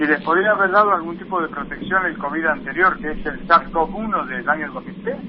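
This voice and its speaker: Over noticeable background noise, a high-pitched man talks at a fairly quick pace with hardly any pauses and ordinary pitch variation. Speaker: infectious disease doctor. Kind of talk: phone interview.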